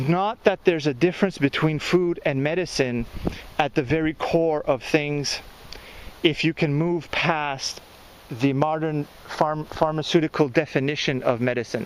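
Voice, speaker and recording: A man speaks with a Quebec accent at a fairly high pitch. His pace is moderate, with ordinary pitch variation. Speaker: gardening and spirituality vlogger. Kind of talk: casual video monologue.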